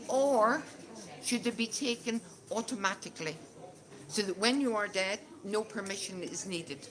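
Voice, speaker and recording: With a Northern Irish accent and lively intonation, a woman speaks in a fairly high voice with long, frequent pauses, and noticeable background noise can be heard. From Northern Ireland. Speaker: conversation group facilitator. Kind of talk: discussion leading for English learners. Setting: casual gathering with audience. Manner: slow, clear.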